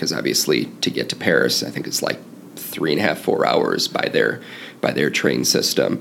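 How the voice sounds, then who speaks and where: Noticeable background noise sits under a man speaking moderately fast in an American accent. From US Midwest. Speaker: cycling fan and traveler. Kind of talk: casual interview.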